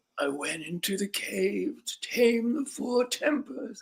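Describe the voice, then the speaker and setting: A put-on character voice, fairly high in pitch and dramatic in tone. It moves at a fairly slow pace. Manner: dramatic, storytelling.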